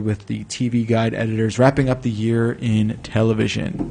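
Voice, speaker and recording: Talking at a moderate pace, a man at medium pitch has an ordinary speaking voice. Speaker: podcast host. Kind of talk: casual chat. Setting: studio. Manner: joking banter.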